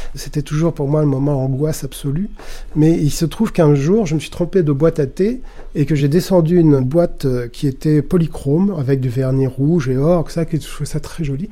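This man's voice sits fairly high in pitch, with a dark, mellow tone and ordinary pitch variation. He talks at a moderate pace. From Paris area, France. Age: 50s. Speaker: film archivist and curator. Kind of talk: documentary interview.

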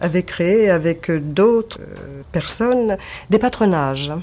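Speaking very slowly with long, frequent pauses, a woman with a fairly low pitch uses lively intonation over noticeable background noise. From Paris, Belleville. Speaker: former resistance member, witness. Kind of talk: testimony.

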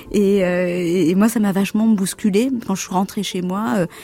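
A woman speaks at medium pitch and a fairly slow pace with fairly even intonation. Noticeable background noise runs underneath. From Comoros. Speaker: fashion designer. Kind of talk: radio interview.

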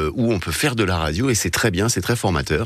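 Very wide pitch swings from a man, with noticeable background noise behind. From Paris region. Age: 40s. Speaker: radio program director. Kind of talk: casual chat.

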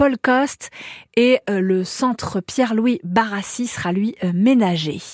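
In a very clean recording with a silent background and a dry, close sound with no echo, a woman speaks in a serious tone at a fairly high pitch with ordinary pitch variation. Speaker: local radio news reader. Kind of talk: news reading, regional radio bulletin. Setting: studio. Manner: brisk, even, formal newsreader delivery; neutral, serious tone for grim stories.

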